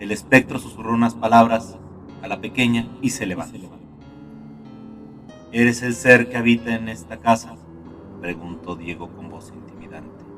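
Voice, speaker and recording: A man's voice with big swings in loudness, ordinary pitch variation and long, frequent pauses, over music in the background. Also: medium pitch for a man, moderate pace. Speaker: narrator. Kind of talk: horror story narration. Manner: dark, gloomy.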